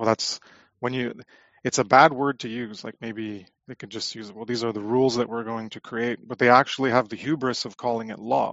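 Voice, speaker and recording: Speaking at a fairly quick pace, a man with a medium pitch keeps his intonation fairly even while his loudness swings widely. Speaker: guest, natural law commentator. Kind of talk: live roundtable discussion. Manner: direct, succinct.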